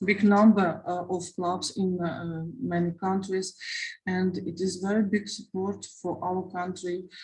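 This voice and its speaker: A somewhat breathy woman's voice, fairly slow and monotone, with flat intonation. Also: medium pitch for a woman. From Ukraine. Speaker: war refugee, mother. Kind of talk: testimony. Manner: halting, many hesitations.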